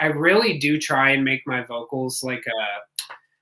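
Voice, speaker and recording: A man with a Cleveland accent talks with ordinary pitch variation. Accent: nasal Cleveland. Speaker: musician, band vocalist. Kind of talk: radio interview. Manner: halting.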